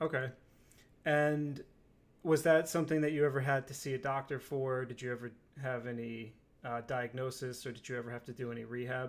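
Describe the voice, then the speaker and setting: A man at medium pitch, monotone and flat, fairly quick, with big swings in loudness, in a very clean recording with a silent background. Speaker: healthcare interviewer. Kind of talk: interview questions.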